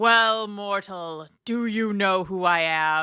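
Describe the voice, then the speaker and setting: A booming, put-on character voice that sounds female, at middle pitch and a very slow pace, on a very clean recording with a silent background. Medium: read story. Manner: booming, imperious.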